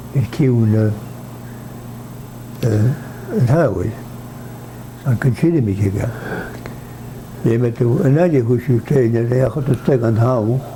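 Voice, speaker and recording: A man talks at a fairly slow pace with medium pitch and ordinary pitch variation. Long, frequent pauses break up his speech, and noticeable background noise runs underneath. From Nova Scotia. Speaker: native speaker interviewee. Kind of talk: interview.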